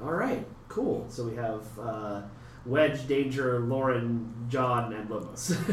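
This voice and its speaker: At a very slow pace, a medium-pitched man talks with fairly even intonation, with audible room echo and noticeable background noise. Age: 40s. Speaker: podcast host. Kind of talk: casual interview chat. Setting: meeting room at a gaming convention.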